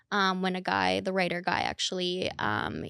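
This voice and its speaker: A woman of medium pitch with a slight Minnesota accent, in a very clean, dry, close recording with no echo and a silent background. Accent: slight Minnesotan, heard in O sounds. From Minnesota, Minneapolis. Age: 30s. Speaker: dating influencer. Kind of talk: podcast interview.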